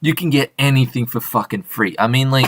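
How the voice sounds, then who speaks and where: A man with an Australian accent, a bright, sharp tone, ordinary pitch variation and a moderate pace. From Australia, Sydney. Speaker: interviewer. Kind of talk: casual chat.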